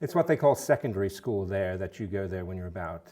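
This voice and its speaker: A man's very deep, low voice with a dark, mellow tone on a very clean recording with a silent background. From England, London. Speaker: food bank CEO. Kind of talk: interview. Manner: hesitant, many fillers.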